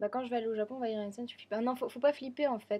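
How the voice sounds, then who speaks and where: A woman's fairly high voice carries a dark, mellow tone and a monotone, flat intonation. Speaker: vlogger. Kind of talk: casual vlog. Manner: fast.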